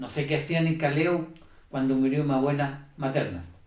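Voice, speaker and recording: A man's fairly high voice comes through with audible echo from the room. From Chile. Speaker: church member giving testimony. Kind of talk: testimony. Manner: halting, with many fillers.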